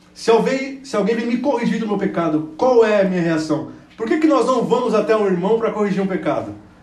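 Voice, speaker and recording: The speech moves at a moderate pace with lively intonation. Audible room echo surrounds it. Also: man. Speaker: preacher. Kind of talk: sermon. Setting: church.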